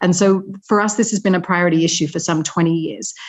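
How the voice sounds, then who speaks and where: A woman talks fairly quickly. Her intonation stays mostly level. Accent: Australian. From Australia. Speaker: humanitarian organisation representative. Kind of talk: webinar presentation.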